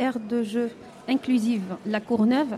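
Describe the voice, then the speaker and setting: A woman speaks at a very slow pace with fairly even intonation against noticeable background noise. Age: 40s. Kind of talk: radio interview. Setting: live broadcast at an indoor market, audience present. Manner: hesitant.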